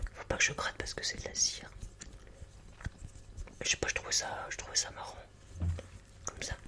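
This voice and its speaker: A man whispers in a relaxed tone at a fairly quick pace, with long, frequent pauses. Noticeable background noise can be heard. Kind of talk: ASMR improvisation talking to camera. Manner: soft, relaxed, close to microphone.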